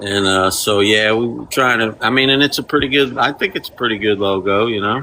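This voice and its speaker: The tone is bright and sharp, with ordinary pitch variation and a Kentucky accent. Delivery moves at a fairly quick pace with hardly any pauses. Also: man, medium pitch for a man. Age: 50s. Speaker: mechanic and free pizza charity organizer. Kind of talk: casual chat.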